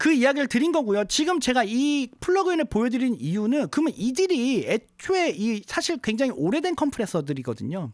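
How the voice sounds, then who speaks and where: Using an extremely high pitch with very wide pitch swings, a man talks at a fairly quick pace with hardly any pauses and very even loudness. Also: very clean recording, silent background. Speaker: music producer and audio tutorial youtuber. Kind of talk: tutorial. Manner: speeding up as video goes on; halting with fillers and self-corrections.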